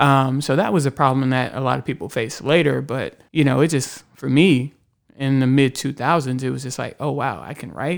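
A man with a plain, everyday voice, medium pitch and moderate pace on a very clean recording with a silent background. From Houston, Texas. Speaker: writer. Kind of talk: casual chat. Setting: studio.

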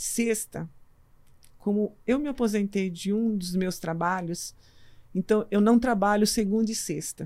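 A woman with a normal speaking voice talks at a fairly slow pace, medium pitch and fairly even intonation in a very clean recording with a silent background. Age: 60s. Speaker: pediatrician and medical school lecturer, marathon runner. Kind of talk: casual interview chat.

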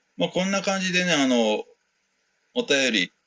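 A man's voice in a relaxed tone. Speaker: podcast host and West African music performer. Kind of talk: casual solo talk answering listener mail. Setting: converted shed room at home, no air conditioning. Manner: relaxed, many filler words.

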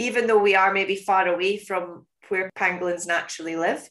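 A woman with a Scottish accent speaks at a moderate pace in a medium pitch with fairly even intonation. Her tone is bright and sharp, and the background is quiet. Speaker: podcast host and conservation educator. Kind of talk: casual interview chat.

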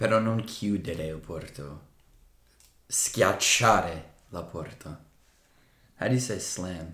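Speaking with an American accent, a man has a very deep, low pitch and a bright, sharp tone with ordinary pitch variation. He goes at a very slow pace with long, frequent pauses and big swings in loudness. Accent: American-accented Italian. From United States. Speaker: language-learning podcast co-host. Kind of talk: casual chat. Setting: indoors, evening on a couch.

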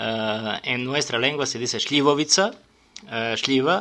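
A man speaks with a Serbian accent. His pace is very slow and his pitch medium. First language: Serbian (speaking Spanish). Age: 40s. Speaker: sommelier and restaurant owner. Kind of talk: radio interview. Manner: halting.

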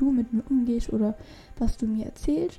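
This woman talks with an ordinary speaking voice, her pitch fairly high and her pace moderate. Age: young. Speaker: podcast host, personal development. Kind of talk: solo podcast monologue. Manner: casual, filler-heavy.

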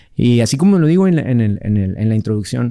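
A man with a medium-pitched voice and a dark, mellow tone speaks at a fairly quick pace on a very clean recording with a silent background. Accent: Mexican. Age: 40s. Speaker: MMA fighter. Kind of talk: casual chat.

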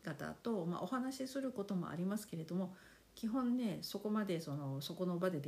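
This woman's voice has a fairly low pitch, a dark, mellow tone and lively intonation. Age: 50s. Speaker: podcast host. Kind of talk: casual monologue. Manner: polite, relaxed.

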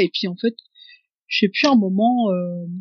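Her pace is moderate. This woman shows ordinary pitch variation. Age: 30s. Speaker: hiker and mother of two. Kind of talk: interview, personal story. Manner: halting, many hesitations.

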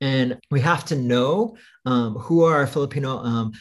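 A man with fairly high pitch and an American accent, a normal speaking voice, lively intonation and a fairly slow pace, on a very clean recording with a silent background. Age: 50s. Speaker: writer and school dean. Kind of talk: casual interview chat.

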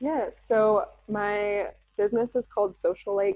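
An American accent from a woman at medium pitch, at a fairly slow pace. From US West Coast, San Diego. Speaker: small business owner. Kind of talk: interview. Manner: animated.

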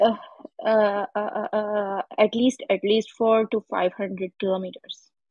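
A woman's fairly high, somewhat breathy voice at a fairly slow pace with ordinary pitch variation. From Pakistan. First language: not English. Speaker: caller. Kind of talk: casual chat seeking advice. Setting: live audio room. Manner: halting.

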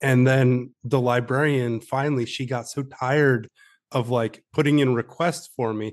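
With an American accent and an ordinary speaking voice, a man of medium pitch speaks at a moderate pace. His intonation stays fairly even over a quiet background. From upstate New York. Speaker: author and army veteran. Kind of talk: interview.

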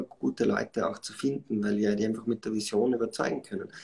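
A dark, mellow voice at a fairly quick pace with ordinary pitch variation. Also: man. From Austria, Styria (Schladming). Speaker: startup founder and CEO. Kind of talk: live podcast interview. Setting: live online stream. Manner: many filler sounds and self-corrections.

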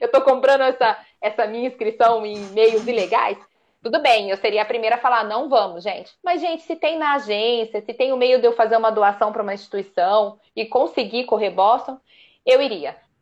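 Moderate pace and ordinary pitch variation from a woman with a normal speaking voice, fairly high in pitch. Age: 30s. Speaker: amateur marathon runner. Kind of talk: casual chat.

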